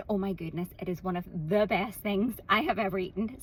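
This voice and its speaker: A woman speaks in an Irish accent with a medium pitch. Her voice is somewhat breathy. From Ireland. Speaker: content creator. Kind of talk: casual vlog monologue.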